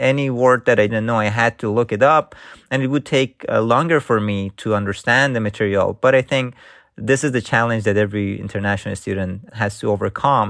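In a very clean recording with a silent background, a man with an Iranian accent talks at a fairly quick pace. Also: medium pitch for a man, ordinary pitch variation. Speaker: engineering professor. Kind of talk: interview answers.

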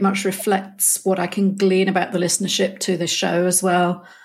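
A woman speaks in a British accent at a medium pitch. Her delivery is monotone and flat, at a moderate pace. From Britain. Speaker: podcast host. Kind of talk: interview. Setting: remote call.

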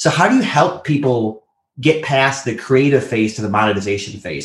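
A man's somewhat breathy voice moves at a moderate pace with ordinary pitch variation. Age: 30s. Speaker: podcast co-host. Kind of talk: casual interview. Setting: remote call.

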